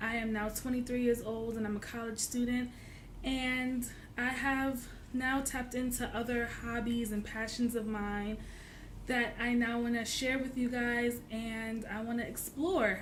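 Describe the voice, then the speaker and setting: Audible room echo surrounds a woman speaking at a high pitch and fairly slow pace, her intonation monotone and flat. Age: 20s. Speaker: college student vlogger. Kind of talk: casual vlog tutorial. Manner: hesitant with many fillers.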